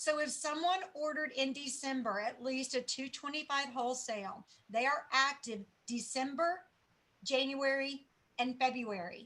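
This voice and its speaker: A woman projects her voice with a bright, sharp tone and high pitch. Her pace is moderate, and her pitch varies in an ordinary way. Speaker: sales team leader. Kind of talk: training presentation.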